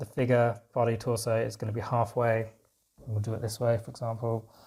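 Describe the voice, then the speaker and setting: On a very clean recording with a silent background, a man speaks at a fairly quick pace and medium pitch, somewhat breathy, with a dark, mellow tone and monotone, flat intonation. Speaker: art teacher. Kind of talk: tutorial.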